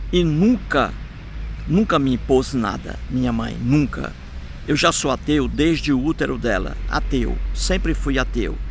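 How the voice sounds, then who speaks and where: A man talks at a fairly slow pace. Room echo is audible around his voice. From Brazil, Ceará (Sobral). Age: 60s. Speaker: atheist video blogger. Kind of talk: casual vlog monologue. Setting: outdoors in a park.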